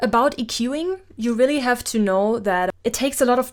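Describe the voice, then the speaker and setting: On a very clean recording with a silent background, a woman talks at a moderate pace with ordinary pitch variation. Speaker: singer and cover artist explaining mixing. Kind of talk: tutorial. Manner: casual, with frequent fillers.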